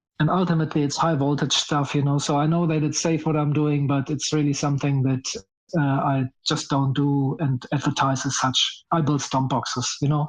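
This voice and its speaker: Fairly high-pitched man with a German accent, monotone and flat in intonation, at a moderate pace and very even loudness, over a quiet background. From Germany. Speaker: guitar pedal builder. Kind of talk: interview.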